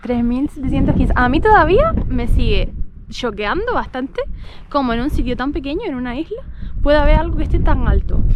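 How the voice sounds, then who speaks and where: A woman speaks at a high pitch and a fairly quick pace, with lively intonation. Noticeable background noise and audible room echo fill the recording. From Canary Islands, Gran Canaria. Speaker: travel vlogger. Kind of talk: casual chat.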